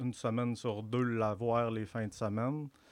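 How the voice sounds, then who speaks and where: This man's voice sits at medium pitch with monotone, flat intonation. He moves at a fairly slow pace. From Quebec, Saguenay-Lac-Saint-Jean (Albanel). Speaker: barber and small business owner. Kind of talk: casual interview.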